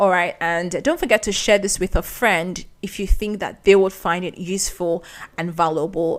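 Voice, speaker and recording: A woman with a Nigerian accent speaks at a medium pitch. Her pace is moderate and her pitch varies in an ordinary way. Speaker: podcast host. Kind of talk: podcast monologue. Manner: conversational.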